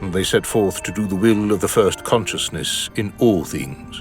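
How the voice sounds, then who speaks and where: With music in the background, a man speaks at a moderate pace, fairly low in pitch, with ordinary pitch variation. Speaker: audiobook narrator. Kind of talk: epic fantasy prologue narration.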